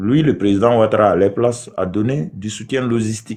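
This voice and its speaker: A man with a Burkinabe accent at a fairly slow pace against a quiet background. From southwest Burkina Faso. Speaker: debate participant. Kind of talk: heated debate. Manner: halting.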